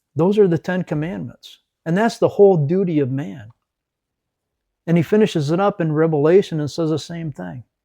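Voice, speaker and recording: A man with an American accent speaks at a fairly quick pace with long, frequent pauses, his high-pitched, dark, mellow voice showing ordinary pitch variation in a dry, close sound with no echo against a quiet background. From West Michigan. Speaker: ministry leader, military veteran. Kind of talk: faith talk interview.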